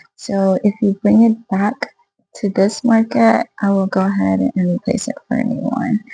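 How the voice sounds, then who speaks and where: A woman speaks at a moderate pace with a medium pitch and ordinary pitch variation. The sound is dry and close with no echo, and music plays in the background. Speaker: small craft seller, video blogger. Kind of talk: casual vlog. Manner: soft-spoken; hesitant, many fillers. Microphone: poor audio.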